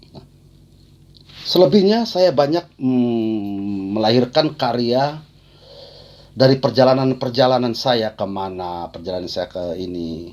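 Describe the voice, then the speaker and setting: A man at a medium pitch speaks at a very slow pace with lively intonation. His loudness swings widely. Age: 60s. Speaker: poet. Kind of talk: talk on own creative process. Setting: video call. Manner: halting.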